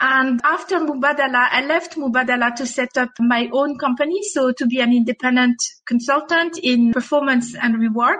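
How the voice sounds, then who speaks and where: A woman with a high-pitched voice speaks using ordinary pitch variation. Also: moderate pace, hardly any pauses. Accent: French. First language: French. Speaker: HR executive. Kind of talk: interview. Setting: video call.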